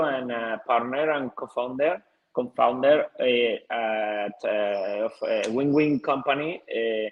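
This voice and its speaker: This man's voice sits fairly high. He speaks with a Spanish accent. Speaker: TV producer. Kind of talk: conference presentation. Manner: halting.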